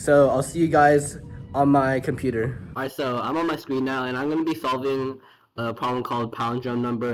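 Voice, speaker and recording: With music playing in the background, a man speaks at a fairly high pitch and with fairly even intonation. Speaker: student vlogger. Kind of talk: casual vlog; coding tutorial. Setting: campus computer room. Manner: casual, filler words.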